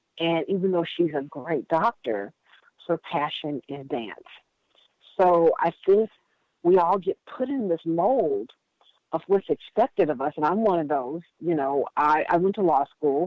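She has a plain, everyday voice and an American accent. This woman talks fairly slowly at a fairly low pitch. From US Midwest (Indiana). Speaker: workshop leader, wellbeing coach. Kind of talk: interview.

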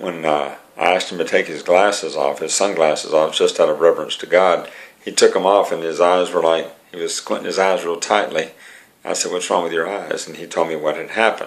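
A man at a fairly quick pace, with big swings in loudness. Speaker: preacher. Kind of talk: testimony, sermon-like talk. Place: home room. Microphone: webcam.

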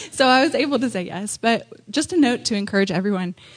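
A woman speaks over noticeable background noise. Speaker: church speaker. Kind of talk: church talk.

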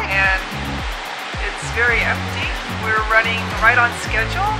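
Over loud background music, a woman speaks at a fairly slow pace. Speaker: travel vlogger. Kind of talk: casual vlog chat. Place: train. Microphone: phone near.

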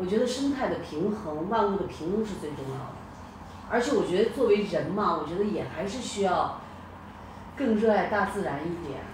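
Noticeable background noise sits behind a woman who talks at a moderate pace and medium pitch with lively intonation. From northwest China. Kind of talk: casual chat. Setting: video call.

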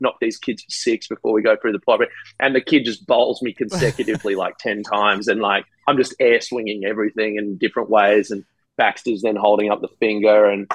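A man with an ordinary speaking voice, fairly low in pitch, fairly quick, with fairly even intonation, a quiet background and a dry sound with no echo. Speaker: podcast guest. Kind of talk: interview answer. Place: home room. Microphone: earbuds.

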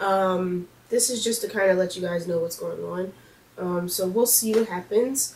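Somewhat breathy, a woman talks at a medium pitch and moderate pace with ordinary pitch variation. Light background noise is present. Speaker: beauty vlogger. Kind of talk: casual vlog update. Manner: hesitant, many fillers. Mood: apologetic, upbeat. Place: home room. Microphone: camera far.

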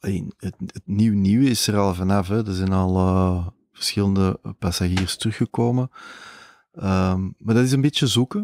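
A man's fairly low voice at a very slow pace, with ordinary pitch variation and a dry, close sound with no echo. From Flanders, Belgium (Mol, Antwerp province). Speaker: entrepreneur, travel company founder. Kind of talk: casual interview. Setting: aboard a moored ship.

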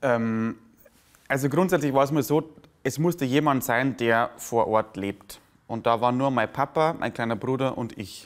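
A man talks at a medium pitch. His pitch variation is ordinary. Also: moderate pace. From Lower Bavaria, Germany; Bavaria, Germany. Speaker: comedian; interviewee, stage comedian. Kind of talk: interview. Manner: halting. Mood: warm, reflective storytelling. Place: cafe. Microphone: lapel.

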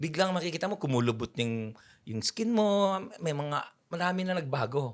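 Over a silent background in a very clean recording, a man talks at a moderate pace in an animated tone, his fairly high pitch making very wide swings. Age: 50s. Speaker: photographer. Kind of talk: interview.

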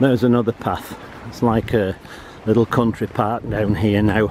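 Amid light background noise, a man talks at a moderate pace with fairly even intonation. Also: dry sound with no echo. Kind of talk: casual vlog commentary. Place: forest. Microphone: phone near.

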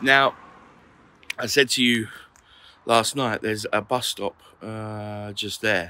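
A bright, sharp British accent at a very slow pace, with long, frequent pauses and fairly even intonation. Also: man, fairly low pitch for a man. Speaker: motorhome vlogger. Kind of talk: vlog. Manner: casual, chatty.

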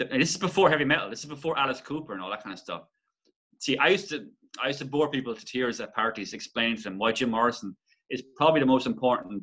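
A man with a Waterford accent talks very fast in a bright, sharp tone, his intonation lively and his loudness swinging widely, against a quiet background. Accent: Irish, Waterford. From Ireland. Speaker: musician and songwriter; interview guest. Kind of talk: casual interview chat. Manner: halting, many false starts. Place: home room. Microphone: webcam.

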